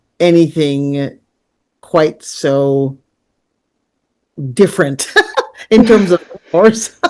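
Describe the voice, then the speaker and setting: Her voice is very deep and low in pitch, with ordinary pitch variation. The woman speaks in a Canadian accent against a quiet background. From Caribbean, raised in Canada from age five. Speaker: film producer. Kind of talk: interview.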